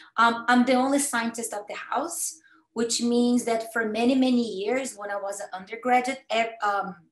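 A woman with a fairly high voice speaks at a moderate pace with fairly even intonation over audible room echo. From Brazil, Campinas (São Paulo state); São Paulo state, Brazil. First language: Portuguese. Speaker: cancer researcher. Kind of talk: educational talk. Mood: warm, personal storytelling. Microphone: video call.

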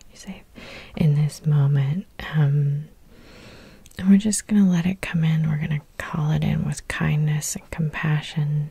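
Soft-spoken and somewhat breathy, a woman speaks with a gentle, dark, mellow tone at a very deep, low pitch. She goes at a fairly slow pace with long, frequent pauses against a quiet background. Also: fairly even intonation, dry sound with no echo. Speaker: hypnotherapist. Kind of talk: soothing guided hypnosis meditation with repetitive induction. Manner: soft-spoken, gentle and slow; hypnotically repetitive, drawn-out phrasing. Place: home room.

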